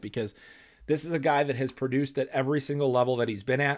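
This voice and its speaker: In a very clean recording with a silent background, the speaker talks at a fairly quick pace with an American accent. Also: man. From Chicago, US Midwest. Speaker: hockey podcast host. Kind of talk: solo sports analysis podcast. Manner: conversational with frequent fillers.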